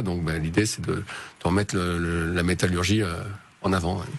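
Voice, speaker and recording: Intonation stays fairly even while the words come out at a very fast pace. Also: man. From southern France (Marseille, Hautes-Alpes). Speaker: entrepreneur, consultant. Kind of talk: radio interview. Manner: hesitant, many fillers.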